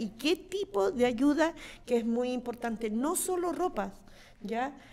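A woman talks in a normal speaking voice at a fairly high pitch. Her pace is fairly slow. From Chile, Santiago; Chile. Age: 50s. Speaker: mayor. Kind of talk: panel discussion. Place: studio. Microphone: studio mic.

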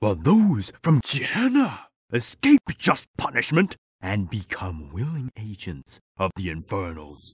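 A man with a fairly low pitch speaks at a fairly slow pace. His voice shows very wide pitch swings and big swings in loudness. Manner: furious, preaching.

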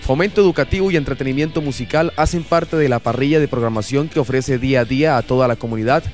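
With music in the background, a man of medium pitch speaks very fast, using ordinary pitch variation. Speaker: news reporter / narrator for a university broadcast. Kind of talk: news report narration.

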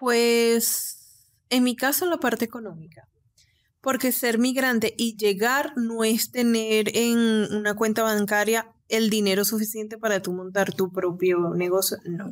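A woman with a normal speaking voice and fairly high pitch talks at a fairly slow pace with ordinary pitch variation, on a very clean recording with a silent background. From Venezuela, Cabimas, Zulia state. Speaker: nail technician and entrepreneur. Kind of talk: interview.

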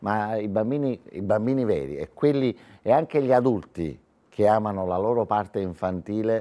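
A man speaks with a Neapolitan accent at a moderate pace. His fairly low voice has a dark, mellow tone and lively intonation. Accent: Neapolitan Italian. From southern Italy. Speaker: author and comedian; comedian. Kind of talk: TV interview. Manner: animated. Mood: cheerful, laughing. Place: studio. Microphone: lapel.

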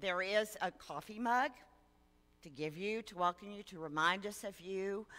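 A woman's bright, sharp voice at a fairly slow pace, with ordinary pitch variation. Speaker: lay preacher leading worship. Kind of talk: church welcome announcements. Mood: warm, welcoming. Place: church.

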